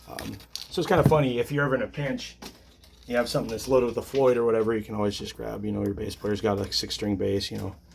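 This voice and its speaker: Mumbling at a very fast pace, a man speaks with ordinary pitch variation. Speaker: guitar repair technician. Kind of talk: tutorial. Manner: casual, hesitant with many fillers.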